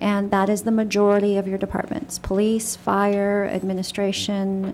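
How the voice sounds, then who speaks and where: Soft-spoken, a woman talks at a medium pitch and a fairly slow pace. Her intonation is monotone and flat. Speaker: city finance official. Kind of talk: budget presentation at council meeting. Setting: city council meeting room. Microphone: echo in the room.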